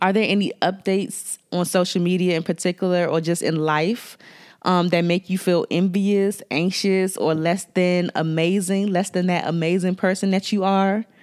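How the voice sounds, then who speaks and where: Delivered in a Washington DC accent at a moderate pace, this voice runs with hardly any pauses, very even loudness and monotone, flat intonation on a very clean recording with a silent background. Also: woman, medium pitch for a woman. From Washington DC area. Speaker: makeup artist and podcast host. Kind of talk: solo podcast talk with tips. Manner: friendly, conversational.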